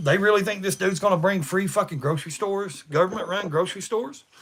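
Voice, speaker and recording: The speaker has an East Tennessee accent and talks at a fairly quick pace. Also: man. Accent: Southern US (East Tennessee). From US South. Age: 40s. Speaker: livestreamer. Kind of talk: casual chat. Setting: livestream. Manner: fast; animated.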